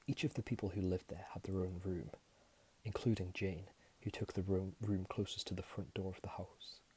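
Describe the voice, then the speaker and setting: Whispering at a moderate pace, a soft-spoken man sounds somewhat breathy. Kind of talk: whispered ASMR horror storytelling. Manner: soft-spoken, whispering.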